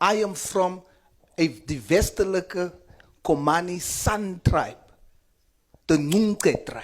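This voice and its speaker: The speaker, in a South African accent, goes at a very slow pace with long, frequent pauses. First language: Afrikaans. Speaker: member of parliament. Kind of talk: parliamentary committee speech. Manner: impassioned.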